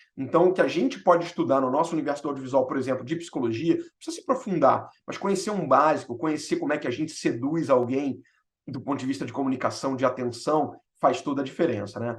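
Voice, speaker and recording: Very fast speech from a man with a fairly high pitch and ordinary pitch variation. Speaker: film director and storyteller. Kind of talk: talk. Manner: animated.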